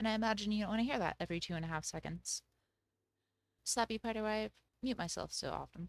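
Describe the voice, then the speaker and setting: A woman with a fairly high pitch and ordinary pitch variation talks at a very fast pace, broken by long, frequent pauses. The recording is very clean with a silent background, and the sound is dry and close with no echo. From Germany. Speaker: game streamer. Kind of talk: live gameplay stream chat. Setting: live stream. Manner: casual.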